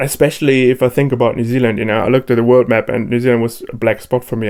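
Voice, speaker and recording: A man at a medium pitch with a German accent. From Germany, Cologne. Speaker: DJ and producer. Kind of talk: interview. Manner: hesitant, many fillers.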